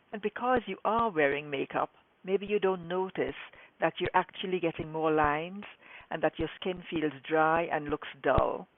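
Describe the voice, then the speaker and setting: With an unremarkable speaking voice, a woman keeps a moderate pace at a fairly low pitch and ordinary pitch variation. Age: 60s. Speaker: skincare specialist and scientist. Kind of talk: direct-to-camera talk to viewers.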